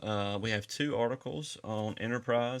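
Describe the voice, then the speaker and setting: The speaker is a man. His accent is Southern US. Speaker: podcast host. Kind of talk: casual chat.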